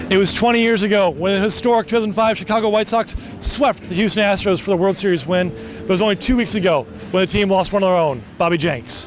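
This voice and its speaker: A high-pitched man rattles along at a very fast pace with hardly any pauses and ordinary pitch variation. Noticeable background noise runs beneath him. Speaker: TV news reporter. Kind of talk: TV news package narration.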